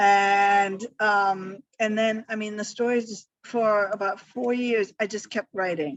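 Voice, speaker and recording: At a very slow pace, a woman speaks with hardly any pauses. Her medium-pitched voice has fairly even intonation. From Germany, Hamburg. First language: German. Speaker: author. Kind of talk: interview. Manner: halting, many fillers.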